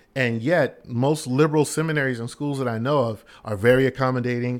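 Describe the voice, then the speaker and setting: With an American accent, a man uses a normal speaking voice at a medium pitch and fairly even intonation, in a very clean recording with a silent background. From US Northeast, West Philadelphia. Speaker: pastor. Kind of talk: casual chat.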